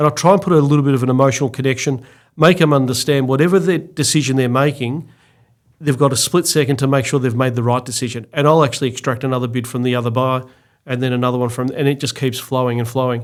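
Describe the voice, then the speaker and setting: A man talks at a very fast pace with an Australian accent, his medium-pitched voice fairly even in intonation, on a very clean recording with a silent background. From Victoria, Australia (Mornington Peninsula). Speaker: auctioneer and real estate executive. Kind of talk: interview.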